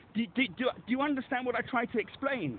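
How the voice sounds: Speaking at a fast pace, the man has an extremely high pitch with ordinary pitch variation.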